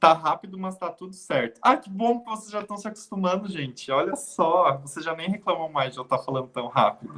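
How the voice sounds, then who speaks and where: Fairly quick, nearly pause-free speech in a bright, sharp tone, with lively intonation and big swings in loudness. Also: man, high pitch for a man. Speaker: health sciences lecturer. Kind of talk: online lecture. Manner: hesitant fillers.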